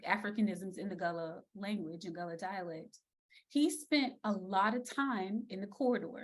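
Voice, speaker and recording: A woman speaks in a normal speaking voice with an American accent, at medium pitch and a moderate pace. Her intonation is lively, and her loudness swings widely. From South Carolina Lowcountry. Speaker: speech language pathologist, educator. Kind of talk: virtual lecture. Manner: casual, conversational.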